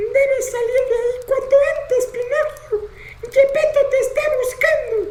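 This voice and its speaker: A put-on character voice pitched extremely high comes through with a slight echo. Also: moderate pace. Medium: read story. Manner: gentle, earnest, advising.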